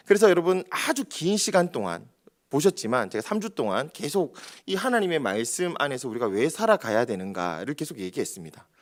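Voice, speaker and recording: On a very clean recording with a silent background, a man with a strong Gyeongsang accent and fairly high pitch talks at a fairly quick pace with vocal fry and very wide pitch swings. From Daegu, South Korea. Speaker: pastor. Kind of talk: sermon.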